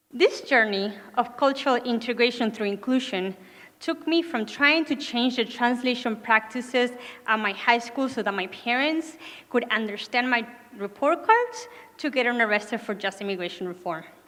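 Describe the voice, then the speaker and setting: A woman with a high pitch at a moderate pace, in a Spanish accent. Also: ordinary pitch variation. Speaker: graduate student speaker, nonprofit executive. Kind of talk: commencement speech. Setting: graduation ceremony with audience.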